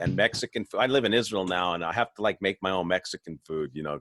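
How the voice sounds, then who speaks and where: Ordinary pitch variation runs through a man's very deep, low voice. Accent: American. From Southern California. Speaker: webinar host. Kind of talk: casual chat. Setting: video call.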